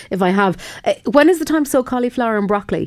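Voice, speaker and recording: A woman speaks very fast in a western Irish accent. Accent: Irish, west of Ireland. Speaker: radio host. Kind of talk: radio call-in advice show, reading listener questions. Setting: radio studio.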